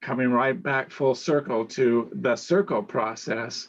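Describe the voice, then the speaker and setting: A man speaks in a plain, everyday voice at a medium pitch. His pace is fairly slow. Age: 60s. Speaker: panel moderator. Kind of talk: panel discussion.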